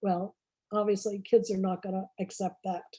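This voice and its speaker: The woman's voice has a dark, mellow tone. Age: 70s. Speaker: children's author. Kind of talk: talk to writers club.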